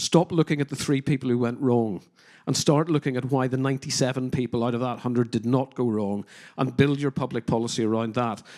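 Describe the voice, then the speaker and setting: The sound is dry and close with no echo as a man talks at a fairly quick pace and medium pitch with fairly even intonation. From Northern Ireland, working-class. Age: 50s. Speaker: criminologist and counter-extremism adviser. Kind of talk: conference panel discussion. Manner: hesitant, many fillers.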